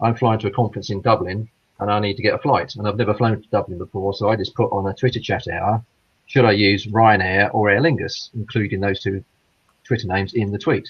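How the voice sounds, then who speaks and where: The man's voice is fairly low in pitch, and he speaks very fast. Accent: British. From England, Midlands. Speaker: caller. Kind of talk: casual chat.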